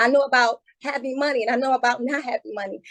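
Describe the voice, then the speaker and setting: A woman speaks in a high pitch with ordinary pitch variation and a passionate tone. The sound is dry and close, with no echo. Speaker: mayoral candidate, incumbent mayor. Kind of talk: candidate forum closing statement. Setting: video call.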